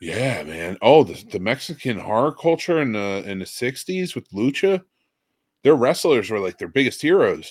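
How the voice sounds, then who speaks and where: A man at medium pitch speaks at a moderate pace with vocal fry, very wide pitch swings and big shifts in loudness, recorded very cleanly against a silent background. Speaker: podcast host. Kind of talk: casual chat.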